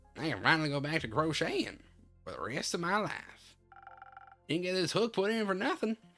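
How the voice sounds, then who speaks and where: Over faint music in the background, a woman uses a put-on character voice, fairly low in pitch, at a moderate pace. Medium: virtual streamer. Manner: crotchety, sharp, teasing.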